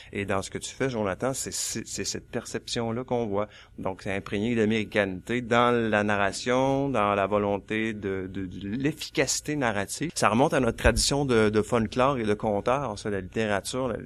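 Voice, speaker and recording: Heard on a very clean recording with a silent background, a man speaks in a plain, everyday voice, fairly low in pitch with ordinary pitch variation, at a moderate pace. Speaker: author and college teacher. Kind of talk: panel discussion.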